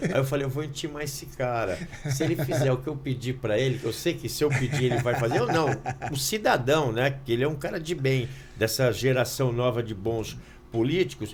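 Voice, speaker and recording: A man's medium-pitched voice with ordinary pitch variation, a fairly quick pace, and audible room echo. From Santos, São Paulo state, Brazil. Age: 60s. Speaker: fitness channel host, former personal trainer. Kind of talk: casual interview chat. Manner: animated.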